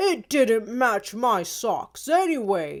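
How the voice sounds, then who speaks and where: A woman growls in a put-on character voice at a fairly high pitch for a woman, speaking very slowly. The recording is very clean, with a silent background. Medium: read story. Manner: cheerful, reassuring.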